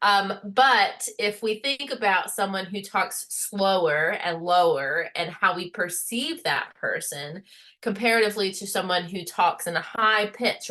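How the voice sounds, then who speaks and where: A woman with an American accent at a medium pitch, bright and sharp in tone, her intonation lively and her pace fairly slow. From rural Appalachian Virginia. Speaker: college lecturer. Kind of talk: recorded lecture. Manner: carefully enunciated.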